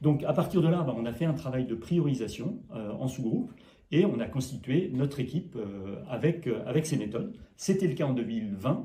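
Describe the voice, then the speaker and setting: His tone is dark and mellow, and somewhat breathy. The man's intonation is lively. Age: 60s. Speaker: mayor, local politician. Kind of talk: interview.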